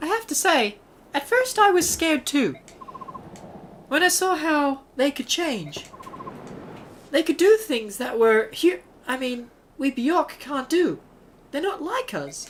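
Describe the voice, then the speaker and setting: A female-sounding put-on character voice, high in pitch, moves at a fairly slow pace with long, frequent pauses. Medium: actual play.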